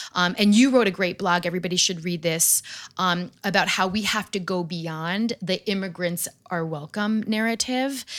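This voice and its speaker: A normal speaking voice with an American accent moves at a moderate pace with ordinary pitch variation. The recording is very clean, with a silent background. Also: woman, medium pitch for a woman. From New York area, US. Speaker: podcast host. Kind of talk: scripted narration; interview conversation.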